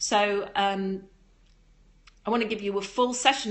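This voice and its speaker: Audible room echo hangs around the voice. The woman keeps a moderate pace. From northern England, Darlington, County Durham. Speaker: yoga teacher and live streamer. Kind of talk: casual live stream chat with viewers.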